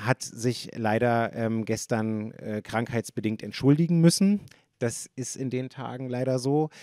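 A man's dark, mellow voice at a very slow pace with ordinary pitch variation, dry with no echo, over a quiet background. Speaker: event host, moderator. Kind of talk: moderator introduction. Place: hall. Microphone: handheld.

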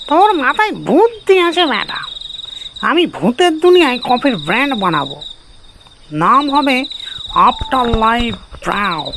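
This cartoonish character voice sits at a high pitch and moves at a fairly slow pace. Its pitch swings very widely. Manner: warm, folksy.

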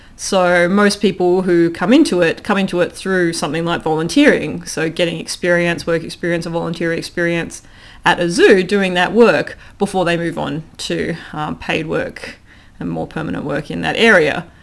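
In an Australian accent, a woman speaks at a moderate pace with vocal fry, a fairly low pitch and fairly even intonation. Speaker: philosophy lecturer and former zookeeper. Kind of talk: casual interview conversation. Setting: recorded at home. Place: home room. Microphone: studio mic.

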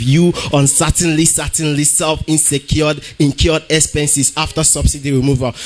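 Music plays in the background behind a man. He speaks at a moderate pace with a fairly high pitch. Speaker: slam poet competitor. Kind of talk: slam poetry performance. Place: hall.

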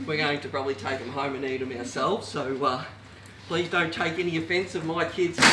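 A man speaks rather quickly against heavy, loud noise in the background. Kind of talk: tutorial. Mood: light-hearted, joking. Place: kitchen. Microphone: camera far.

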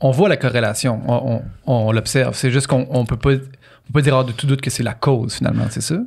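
Against a quiet background, a man talks at a very fast pace with a Quebec accent. His voice is somewhat breathy, medium in pitch, with fairly even intonation. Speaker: podcast co-host; podcast host. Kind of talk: casual chat. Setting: studio. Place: home room. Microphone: studio mic.

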